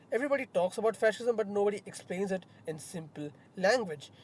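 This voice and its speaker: Speaking at a very fast pace, a man uses lively intonation in a high voice. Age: 20s. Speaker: youtuber. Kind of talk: casual talk-through presentation. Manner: hesitant, with self-corrections. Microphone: backup mic, poor audio.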